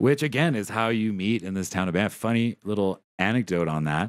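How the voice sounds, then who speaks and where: A man speaks at a fairly quick pace with a Canadian accent and ordinary pitch variation. The sound is dry with no echo, over a quiet background. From Ottawa area, Ontario, Canada; Ontario, Canada. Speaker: podcast host. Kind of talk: casual chat. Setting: live-streamed recording. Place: home room. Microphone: studio mic.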